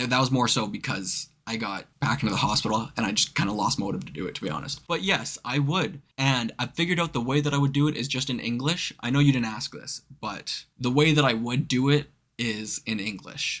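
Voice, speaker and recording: Talking at a fairly quick pace with hardly any pauses, a man with a slight Canadian accent uses lively intonation. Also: medium pitch for a man. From Canada. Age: 20s. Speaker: movie reaction youtuber. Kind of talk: casual Q&A chat. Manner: casual, with filler words.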